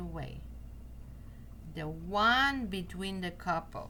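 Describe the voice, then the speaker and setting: Speaking fairly slowly with a Portuguese accent, a woman is heard with audible room echo and noticeable background noise. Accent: non-native English, Portuguese. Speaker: card reader. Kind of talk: tutorial. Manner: halting.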